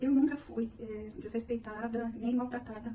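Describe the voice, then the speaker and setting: Over noticeable background noise, a woman with a fairly high pitch speaks at a fairly slow pace in a monotone, flat intonation. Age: 70s. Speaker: interviewee. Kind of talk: interview.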